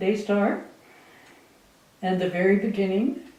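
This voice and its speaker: Fairly even intonation from a woman at a medium pitch, amid audible room echo. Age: 80s+. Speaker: missionary and author. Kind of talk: speech to audience.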